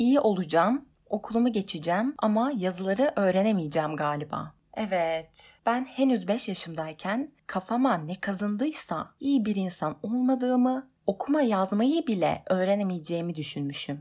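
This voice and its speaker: Very wide pitch swings at a moderate pace, with hardly any pauses, on a very clean recording with a silent background. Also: woman, medium pitch for a woman. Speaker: podcaster working in television. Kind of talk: personal monologue podcast.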